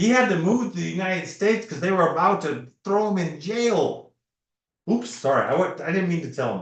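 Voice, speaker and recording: This man's voice is high-pitched and animated. He speaks at a fairly quick pace. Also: ordinary pitch variation. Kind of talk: casual chat. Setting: live stream.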